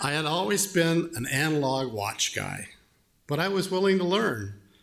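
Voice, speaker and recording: A man's voice with very wide pitch swings. The room echo is audible. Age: 70s. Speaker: lay worship leader. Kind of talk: sermon. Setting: church.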